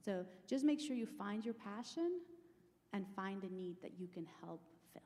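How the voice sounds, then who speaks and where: A woman's dark, mellow voice, somewhat breathy, with lively intonation and big swings in loudness. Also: medium pitch for a woman, moderate pace. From Latin America. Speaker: business executive. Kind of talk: panel discussion.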